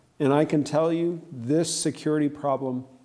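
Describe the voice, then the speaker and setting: A man with an American accent, a dark, mellow tone, ordinary pitch variation and a moderate pace, heard with audible room echo. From United States. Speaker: political scientist. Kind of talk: panel discussion. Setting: stage with audience.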